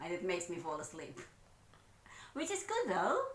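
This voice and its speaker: Audible room echo hangs around a woman as she talks. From Philippines. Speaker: vlogger. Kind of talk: casual chat.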